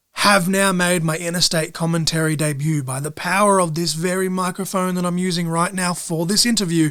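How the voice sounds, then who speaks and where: A man with a high pitch and a bright, sharp tone talks at a fairly quick pace in an Australian accent, with hardly any pauses, on a very clean recording with a silent background. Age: 30s. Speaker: podcast host and wrestling commentator. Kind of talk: podcast outro monologue. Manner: fast; animated.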